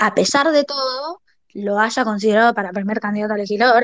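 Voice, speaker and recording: A woman speaks at a moderate pace with a fairly high pitch. Her pitch varies in an ordinary way, and the sound is dry and close with no echo. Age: 20s. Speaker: political activist. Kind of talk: testimony.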